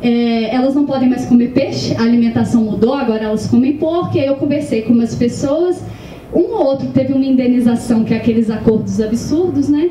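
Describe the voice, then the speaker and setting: Amid noticeable background noise and audible room echo, a woman with a Minas Gerais accent talks fairly quickly at a high pitch and very even loudness. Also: ordinary pitch variation. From Minas Gerais, Brazil. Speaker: author. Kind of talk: panel discussion. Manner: hesitant, many fillers.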